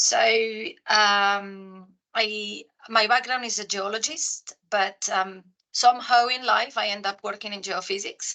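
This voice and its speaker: Her tone comes across bright and sharp. This woman has a Spanish accent. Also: medium pitch for a woman, fairly even intonation, fairly slow pace. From Spain. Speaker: geoscientist in commercial role, panelist. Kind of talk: webinar panel discussion.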